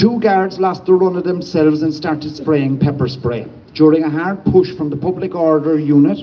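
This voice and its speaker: Noticeable background noise sits under speech that keeps a moderate pace and shows ordinary pitch variation. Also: man, fairly high pitch for a man. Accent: Cork. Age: 50s. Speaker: protest speaker, former nurse and medic. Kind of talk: protest speech. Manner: impassioned.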